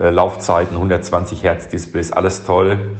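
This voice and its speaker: A man's very deep, low voice at a fairly slow pace, with audible room echo and noticeable background noise. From Berlin. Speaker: listener leaving a voice message. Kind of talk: recorded voice message.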